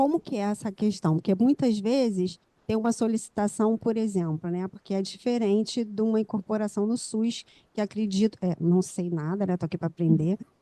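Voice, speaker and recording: A soft-spoken woman of medium pitch, dark and mellow in tone, at a moderate pace. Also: ordinary pitch variation. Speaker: pharmacist, student. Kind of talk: audience question.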